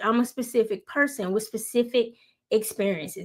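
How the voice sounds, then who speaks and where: A woman with a Southern US accent speaks at a moderate pace and a fairly high pitch. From US Deep South. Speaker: YouTuber. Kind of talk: motivational talk. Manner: casual, with fillers.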